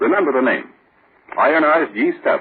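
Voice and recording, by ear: The voice has a husky, rough edge, lively intonation and a moderate pace. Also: man.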